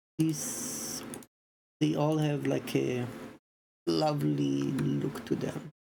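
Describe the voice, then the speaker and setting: The voice is quiet, moving at a very slow pace with long, frequent pauses. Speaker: streamer and indie game developer. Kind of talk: casual livestream commentary.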